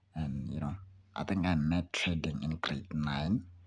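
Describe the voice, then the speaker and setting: Very deep and low, a man's voice carries vocal fry and ordinary pitch variation. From South Africa, Soweto, Johannesburg. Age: 20s. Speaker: student and aspiring trader, channel owner. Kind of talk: casual vlog monologue.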